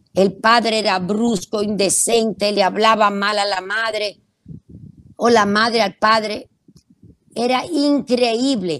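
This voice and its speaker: Her fairly high voice unfolds at a very slow pace as this woman speaks. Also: fairly even intonation. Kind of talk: radio talk on parenting.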